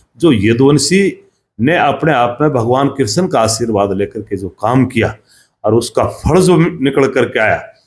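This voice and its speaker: A man talks in an ordinary speaking voice at a medium pitch, with lively intonation. The recording is very clean, with a silent background. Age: 60s. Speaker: former state legislator. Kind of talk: interview.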